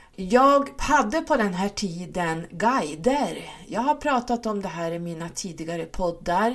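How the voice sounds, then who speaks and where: A woman speaks with very wide pitch swings and hardly any pauses. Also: medium pitch for a woman, fairly slow pace. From Sweden, Stockholm and Norrland. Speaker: spiritual coach and podcaster. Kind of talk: solo monologue podcast.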